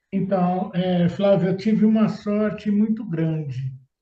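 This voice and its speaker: A man's dark, mellow tone, high-pitched for a man, at a very slow pace. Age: 60s. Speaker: public tender consultant. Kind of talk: interview testimony.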